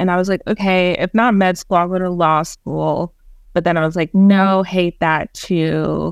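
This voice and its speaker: A woman speaks in a New York accent at a moderate pace. Her pitch is fairly low. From New York City, born in Jamaica. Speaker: museum nonprofit research manager. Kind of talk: podcast interview.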